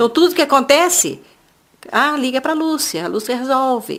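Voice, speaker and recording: A woman speaks at a moderate pace with a high voice. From Brazil, São Paulo state (Jacareí). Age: 60s. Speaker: craftswoman. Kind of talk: oral history interview. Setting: at home.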